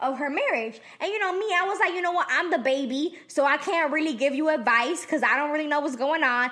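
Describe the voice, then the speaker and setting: A woman's raised, projected voice, high-pitched and animated, with lively intonation, a very fast pace and hardly any pauses, amid audible room echo and noticeable background noise. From El Salvador. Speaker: podcast co-host. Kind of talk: casual chat.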